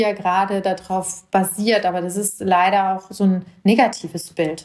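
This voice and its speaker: A woman's fairly slow, monotone delivery with flat intonation. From Germany, Hesse (Marburg Hinterland). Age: 40s. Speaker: judge and mayoral candidate podcaster. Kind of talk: personal monologue podcast.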